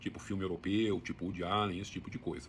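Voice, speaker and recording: Speaking at a very fast pace, a man uses a fairly low pitch with vocal fry and ordinary pitch variation. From Brazil, interior of São Paulo state (Sertãozinho). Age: 60s. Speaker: book channel host. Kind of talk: casual monologue. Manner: conversational, with some hesitations.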